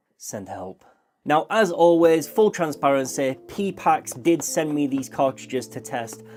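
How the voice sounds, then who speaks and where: The speaker talks with a British accent at a fairly slow pace. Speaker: tattoo artist reviewing products. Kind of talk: product review.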